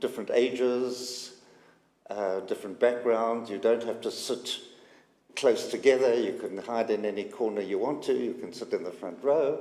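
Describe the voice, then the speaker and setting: A man speaks at a fairly slow pace in a South African accent, his dark, mellow voice at medium pitch with ordinary pitch variation. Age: 80s+. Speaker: synagogue community member. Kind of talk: personal testimony. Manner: halting, many fillers.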